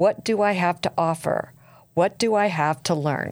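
An ordinary speaking voice from a woman, fairly slow, with ordinary pitch variation, on a very clean recording with a silent background. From US East Coast. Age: 60s. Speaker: podcast host. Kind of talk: interview. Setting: studio.

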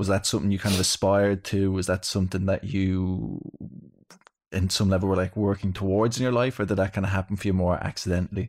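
A man with an Irish accent and a very deep, low voice at a very fast pace, with fairly even intonation and very even loudness, in a very clean recording with a silent background. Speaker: podcast host, breathwork practitioner. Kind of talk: casual chat.

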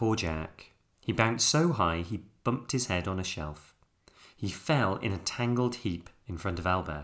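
The clip features an unforced reading voice.

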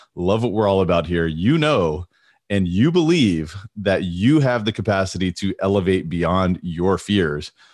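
Over a quiet background, a man speaks with a very deep, low pitch. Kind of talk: motivational pep talk, rallying listeners to rise above fear. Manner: upbeat and fervent, encouraging and direct, building energy; warm and emphatic, repeating key words for punch.

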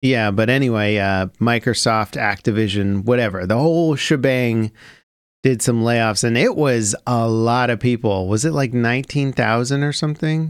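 Man's normal speaking voice at medium pitch, moderate in pace, with ordinary pitch variation, on a very clean recording with a silent background. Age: 30s. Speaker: gaming podcast host. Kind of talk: casual chat. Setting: home studio.

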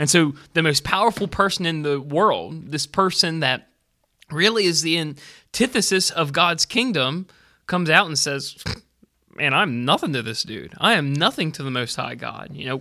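Here a man has an ordinary speaking voice, pitched fairly high, with lively intonation. The recording is very clean with a silent background. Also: moderate pace. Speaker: podcast co-host. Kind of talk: casual chat.

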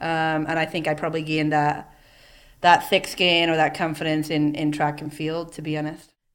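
Speaking at a moderate pace in an Irish accent, a woman uses a very deep, low pitch and monotone, flat intonation. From Ireland. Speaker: CEO. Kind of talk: interview. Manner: casual, hesitant fillers.

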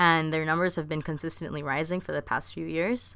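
Very deep and low, a woman's voice comes through in a very clean recording with a silent background. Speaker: podcast co-host. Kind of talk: casual chat. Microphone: better new mic.

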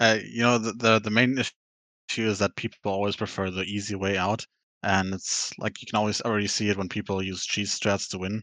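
A man with a German accent, fairly low in pitch and bright, sharp in tone, at a fairly quick pace with monotone, flat intonation, in a dry, close sound with no echo and a very clean recording over a silent background. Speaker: podcast guest, gamer. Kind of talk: casual chat.

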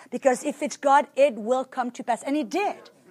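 A woman with a French accent speaks at a moderate pace in a very clean recording with a silent background. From France. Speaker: preacher. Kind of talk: sermon.

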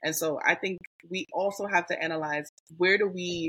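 In an American accent, a woman speaks at a fairly low pitch with a bright, sharp tone, the sound dry and close with no echo. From US South, Mobile, Alabama family. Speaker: diversity and equity trainer. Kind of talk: casual interview.

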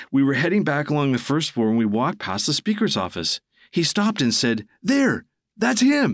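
On a very clean recording with a silent background, a man speaks at a fairly quick pace with very wide pitch swings. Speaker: podcast co-host. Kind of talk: ghost story telling, spooky tale told as a first-person account.

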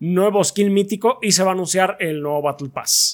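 A man with a Mexican accent talks in a high pitch with ordinary pitch variation. He keeps a moderate pace. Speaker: podcast co-host. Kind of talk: casual chat. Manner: halting.

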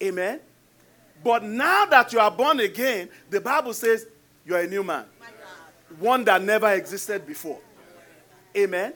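A man's raised, projected voice in a Nigerian accent, high in pitch with ordinary pitch variation, at a moderate pace with long, frequent pauses. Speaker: pastor. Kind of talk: sermon. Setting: church with congregation.

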